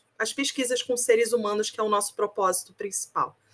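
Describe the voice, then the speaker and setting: A woman speaks in a Rio de Janeiro accent. Her pitch is fairly high and her intonation fairly even. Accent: Carioca (Rio de Janeiro) accent, still strong. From Rio de Janeiro, Brazil. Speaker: research ethics committee coordinator. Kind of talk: opening remarks at online academic event. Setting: video call.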